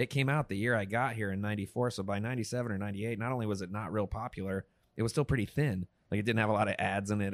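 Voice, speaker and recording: A very fast delivery in a dry, close sound with no echo, on a very clean recording with a silent background. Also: man. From upstate New York. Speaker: artist. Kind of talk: casual chat. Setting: studio.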